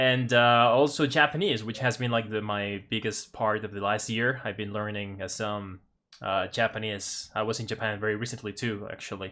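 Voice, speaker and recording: Bright and sharp in tone, a man speaks at a moderate pace with a fairly low pitch and fairly even intonation in a very clean recording with a silent background. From Mexico, Puebla. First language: Spanish. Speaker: English teacher and language learner. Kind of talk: casual conversation lesson. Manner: halting, many fillers.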